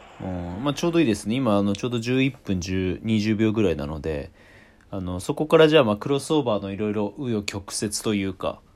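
A man talks fairly quickly in an unremarkable speaking voice, pitched fairly low. His intonation is lively. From Tokyo, Japan. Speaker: podcast host. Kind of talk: casual chat.

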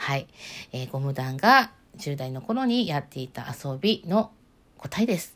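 A woman with a very deep, low pitch speaks in a calm tone at a fairly slow pace, with very wide pitch swings and big swings in loudness, on a very clean recording with a silent background. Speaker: solo podcaster. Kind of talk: solo talk with listener-letter replies.

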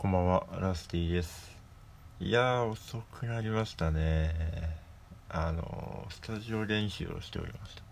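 A man with a calm tone talks at fairly low pitch and a moderate pace, with ordinary pitch variation. His loudness swings a lot, and room echo is audible. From Hokkaido, Japan. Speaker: musician and podcaster. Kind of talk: solo casual talk. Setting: at home.

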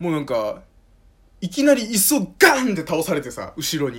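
Pitch swings very widely in this man's speech. He sounds high and talks fairly quickly. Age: 20s. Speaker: podcast host. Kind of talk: casual monologue. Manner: casual, hesitant with fillers.

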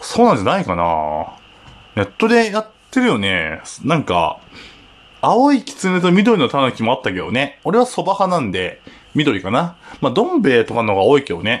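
Relaxed in tone, a man with a fairly high pitch talks at a moderate pace, his pitch swinging very widely amid long, frequent pauses. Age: 30s. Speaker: podcaster. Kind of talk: solo casual talk.

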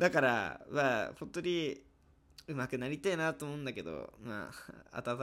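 Very clean with a silent background, the recording carries a man with an ordinary speaking voice, fairly high in pitch and moderate in pace. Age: 20s. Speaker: university student. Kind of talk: casual solo monologue.

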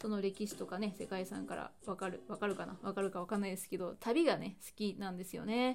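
A woman at medium pitch with ordinary pitch variation and hardly any pauses, over noticeable background noise. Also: fairly quick pace. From Hyogo, Japan. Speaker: podcast host. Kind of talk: solo talk podcast.

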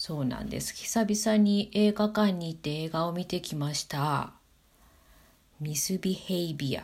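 Somewhat breathy, a woman speaks fairly slowly at a fairly low pitch, with ordinary pitch variation. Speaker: podcaster. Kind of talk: solo talk monologue. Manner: casual with fillers.

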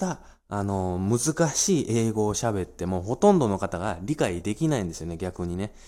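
A man speaks at a fairly slow pace in a dark, mellow tone, his pitch swinging very widely. The recording is very clean, with a silent background. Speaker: financial planner podcaster. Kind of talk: solo talk monologue. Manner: many filler hesitations.

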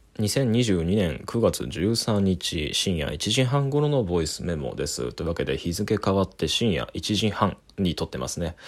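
Very deep and low, a man's voice carries vocal fry and very wide pitch swings. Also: fairly slow pace, hardly any pauses. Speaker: critic doing a daily voice memo podcast. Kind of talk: solo monologue voice memo. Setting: living room at night while housemate sleeps. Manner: calm, composed.

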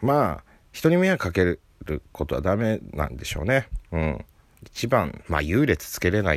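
A man speaks at a moderate pace in a very deep, low pitch with vocal fry. His voice makes very wide pitch swings and big swings in loudness. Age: 30s. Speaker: comedian. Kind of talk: casual solo talk. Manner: laughing often.

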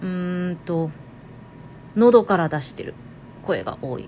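Speaking at a very slow pace with long, frequent pauses, this voice has ordinary pitch variation and big swings in loudness. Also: woman. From Toyama, Japan (Nanto). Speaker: podcast host. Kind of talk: casual monologue.

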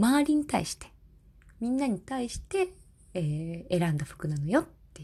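In a very clean recording with a silent background, a woman speaks at a fairly slow pace with a somewhat breathy voice and very wide pitch swings. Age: 30s. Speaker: podcaster, office worker formerly in elderly care. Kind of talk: casual solo talk. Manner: halting, many fillers.

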